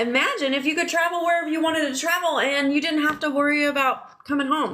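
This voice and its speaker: With an American accent, a woman speaks fairly quickly in a high-pitched, raised, projected voice and an animated tone. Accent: regional accent, family teases her. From Oklahoma. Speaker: online business coach. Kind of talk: live stream sales pitch. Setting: live stream while travelling.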